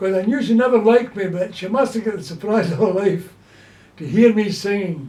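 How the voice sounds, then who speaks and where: A man talks with a Glaswegian accent. His pace is fairly quick. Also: ordinary pitch variation. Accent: Glaswegian Scottish. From Scotland, Glasgow. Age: 80s+. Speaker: elderly man recalling childhood. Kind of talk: casual chat.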